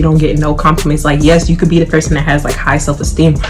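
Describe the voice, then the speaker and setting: A woman with a very deep, low voice is heard amid audible room echo and noticeable background noise. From Atlanta, US South. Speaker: YouTuber. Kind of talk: casual Q&A vlog while eating. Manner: casual, filler-heavy.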